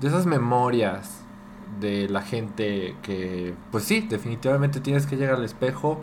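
A man at medium pitch with lively intonation and a fairly slow pace, in audible room echo. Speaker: podcast co-host. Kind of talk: casual chat. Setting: home dining room.

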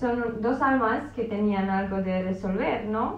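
A woman talks with a Romanian accent. Audible room echo surrounds her voice. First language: Romanian (speaking Spanish). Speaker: podcast guest. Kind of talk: casual chat.

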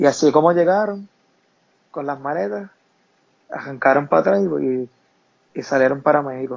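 A man talks at a moderate pace with lively intonation and a fairly high pitch. His speech has long, frequent pauses. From Puerto Rico, Camuy. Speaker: burn accident survivor. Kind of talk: interview testimony.

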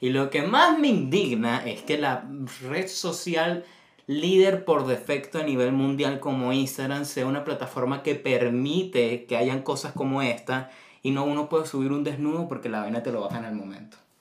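Against noticeable background noise, this man keeps a moderate pace and ordinary pitch variation. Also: fairly high pitch for a man. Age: 20s. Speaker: podcast host. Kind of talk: casual chat.

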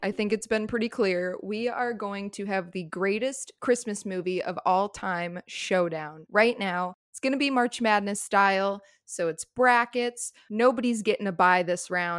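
A woman's plain, everyday voice, medium in pitch with ordinary pitch variation, at a fairly slow pace with hardly any pauses, on a very clean recording with a silent background. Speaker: podcast co-host. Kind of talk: casual chat.

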